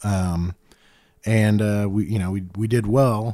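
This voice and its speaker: With an American accent, a man uses a plain, everyday voice at fairly low pitch and with fairly even intonation. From Indiana, Center Grove area. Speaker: real estate agent and entrepreneur. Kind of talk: casual chat.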